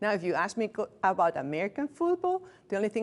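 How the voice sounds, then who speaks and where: A woman talks at a very fast pace. She has a non-native accent. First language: not English. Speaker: hospice staff trainer. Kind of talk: lecture. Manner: conversational.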